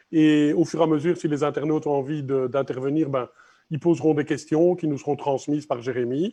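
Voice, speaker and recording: In a Belgian accent, a dark, mellow voice speaks at a moderate pace with fairly even intonation over a quiet background. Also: man. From Belgium. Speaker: gallery interviewer. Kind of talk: interview. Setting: live stream from an art gallery.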